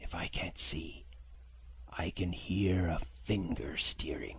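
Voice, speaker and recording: A put-on character voice whispers in a sing-song manner. The pace is very slow. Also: man. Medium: read story. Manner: cruel, cold and ugly.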